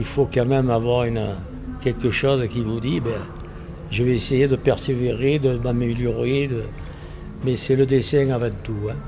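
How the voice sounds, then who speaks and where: With a Provençal accent, a man at medium pitch talks at a fairly slow pace in fairly even intonation, with long, frequent pauses, audible room echo and music in the background. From Provence, southern France, Italian family. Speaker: painter, theatre set decorator. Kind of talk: interview. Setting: art gallery.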